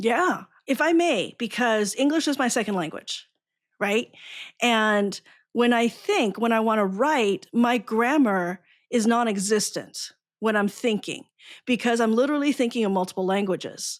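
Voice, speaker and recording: A woman's fairly high voice at a moderate pace, with ordinary pitch variation and very even loudness. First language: Chinese. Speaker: podcast host, educator. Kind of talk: podcast interview.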